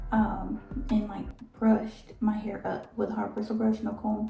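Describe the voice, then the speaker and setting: A woman whispering at a fairly slow pace, with vocal fry. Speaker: hair vlogger. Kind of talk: casual hair tutorial vlog.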